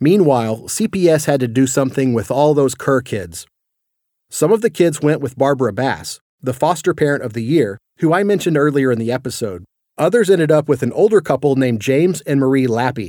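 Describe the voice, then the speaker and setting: Over a silent background on a very clean recording, a man with a dark, mellow tone and fairly high pitch talks at a fairly quick pace with lively intonation. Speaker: podcast narrator. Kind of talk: scripted narration.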